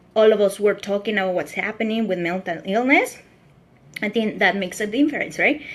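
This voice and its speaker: A woman's medium-pitched voice at a fairly quick pace, with noticeable background noise. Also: ordinary pitch variation. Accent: Mexican. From Mexico. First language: Spanish. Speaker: vlogger sharing personal mental health story. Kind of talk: personal testimony livestream. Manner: halting, with many fillers.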